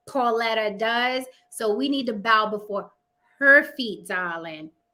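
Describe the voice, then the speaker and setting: With a New York accent, a woman speaks in a bright, sharp tone at a fairly slow pace with ordinary pitch variation. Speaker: livestream talk show host. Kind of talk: casual live-stream chat. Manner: animated.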